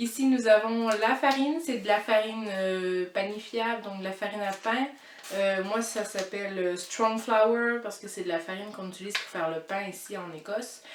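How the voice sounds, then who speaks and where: Over noticeable background noise, a woman talks at a moderate pace and medium pitch, her loudness swinging widely while her pitch varies in an ordinary way. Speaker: cooking vlogger. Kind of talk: cooking tutorial. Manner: hesitant, stumbling.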